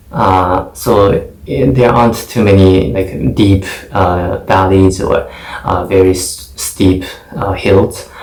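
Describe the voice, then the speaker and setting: A man's fairly low voice with a Japanese accent, very slow pace, ordinary pitch variation, and noticeable background noise. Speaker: English test taker. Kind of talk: mock exam speaking answer. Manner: hesitant, many fillers.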